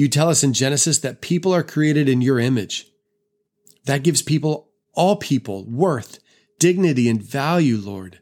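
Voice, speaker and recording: A man with an American accent speaks in a solemn tone at a fairly high pitch, his intonation lively. The recording is very clean, with a silent background. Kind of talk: fervent spoken prayer to God, earnest and pleading. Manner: earnest, heartfelt, impassioned; deliberate, measured, with solemn repetition.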